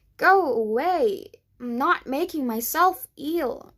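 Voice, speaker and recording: A woman puts on a character voice at an extremely high pitch, swinging very widely in pitch and speaking at a very slow pace. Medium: read story.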